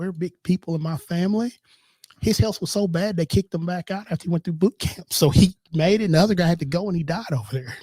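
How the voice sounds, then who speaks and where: A man with a Southern accent talks very fast at a high pitch, with a dark, mellow tone, ordinary pitch variation, and a dry, close sound with no echo. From US South, Tennessee (Murfreesboro). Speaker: insurance agency owner. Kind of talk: casual chat.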